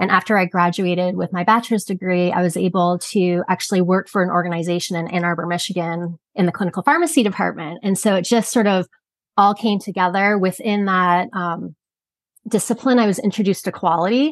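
A plain, everyday voice at a fairly quick pace, with ordinary pitch variation. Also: woman, medium pitch for a woman. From Canada. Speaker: quality and regulatory consultant. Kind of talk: interview.

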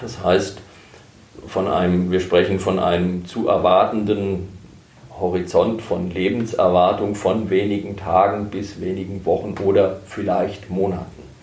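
Over noticeable background noise and audible room echo, a man speaks fairly slowly in a very deep, low, monotone, flat voice. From Germany, Herborn (Hesse). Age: 50s. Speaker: hospice pastor. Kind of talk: interview.

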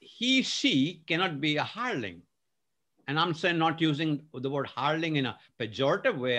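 A man talks at a fairly quick pace with lively intonation, his fairly high voice bright and sharp in tone. The background is quiet. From India. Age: 60s. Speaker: leadership consultant and author. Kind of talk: podcast interview.

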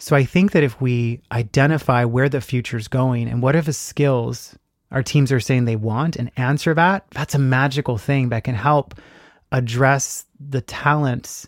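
Recorded very cleanly over a silent background, a man with an American accent and an ordinary speaking voice speaks at a moderate pace with fairly even intonation. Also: dry, close sound with no echo. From South Texas (Robstown, near Corpus Christi). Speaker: retail training executive. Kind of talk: podcast interview. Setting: Airstream trailer by a lake.

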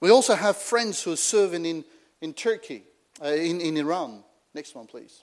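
A man with a non-native accent speaks at a high pitch and moderate pace. His intonation is lively, on a very clean recording with a silent background. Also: big swings in loudness. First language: not English. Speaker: travelling preacher. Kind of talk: sermon.

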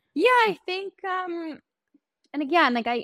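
A woman speaks with a New York accent and lively intonation. The sound is dry and close with no echo, on a very clean recording with a silent background. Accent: New York American. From New York, Long Island. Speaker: teacher and podcaster. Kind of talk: casual interview chat.

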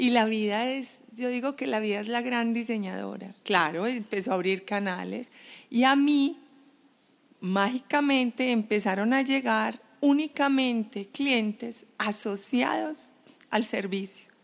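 A normal speaking voice at a fairly slow pace with ordinary pitch variation, captured on a very clean recording with a silent background. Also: woman, fairly high pitch for a woman. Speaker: brand strategist. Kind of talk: interview. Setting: home balcony.

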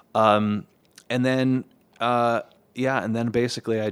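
In a very clean recording with a silent background, a man with an ordinary speaking voice talks fairly slowly at a medium pitch. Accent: American. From Los Angeles, US. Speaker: musician and score mixer. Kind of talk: casual chat. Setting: studio.

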